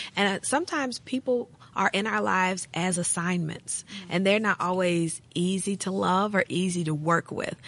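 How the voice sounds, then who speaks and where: A plain, everyday voice from a woman with an American accent, medium in pitch, with ordinary pitch variation, a moderate pace and hardly any pauses. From US South, western Tennessee. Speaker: pastor and women's ministry director. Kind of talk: casual chat.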